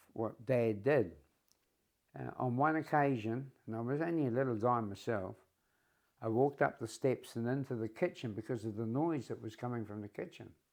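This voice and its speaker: A man with a New Zealand accent talks at a moderate pace, his medium-pitched voice showing ordinary pitch variation. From New Zealand, Wanganui. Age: 80s+. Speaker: retired shepherd telling his life story. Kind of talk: life story interview.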